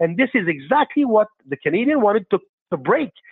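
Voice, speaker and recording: A man speaks with a Quebec accent at a fairly quick pace. His high pitch moves in very wide swings. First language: French. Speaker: caller. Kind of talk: casual chat.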